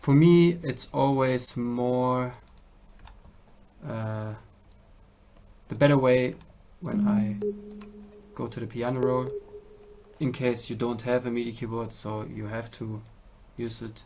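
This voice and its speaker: Speaking very slowly with long, frequent pauses, a man with a German accent keeps a medium pitch and ordinary pitch variation, and audible room echo surrounds him. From Germany. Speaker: music producer. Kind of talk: tutorial. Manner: halting.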